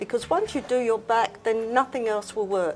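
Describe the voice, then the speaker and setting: A woman speaks with music in the background. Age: 80s+. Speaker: fitness instructor. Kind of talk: interview answer.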